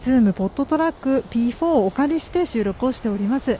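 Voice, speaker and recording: A woman's high-pitched voice with lively intonation at a moderate pace, against noticeable background noise. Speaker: podcast host. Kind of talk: casual monologue. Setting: outdoors by the sea. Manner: polite formal.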